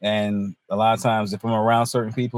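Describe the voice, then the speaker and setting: A man talks at a very fast pace. His fairly low voice stays monotone and flat. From North Carolina, Hertford. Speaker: comedian. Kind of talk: casual chat.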